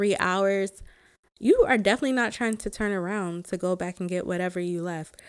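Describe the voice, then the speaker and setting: A woman with an American accent at a medium pitch, moderate pace and ordinary pitch variation, in a very clean recording with a silent background. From US South, Georgia. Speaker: podcast host. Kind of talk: casual solo podcast talk.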